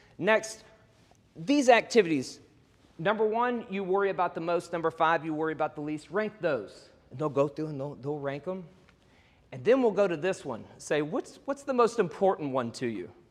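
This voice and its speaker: Speaking with an American accent, a man uses a high pitch and very wide pitch swings. His loudness swings widely against a quiet background. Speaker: workshop presenter, real estate coach. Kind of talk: presentation to an audience. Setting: event talk to audience. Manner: fast; high energy.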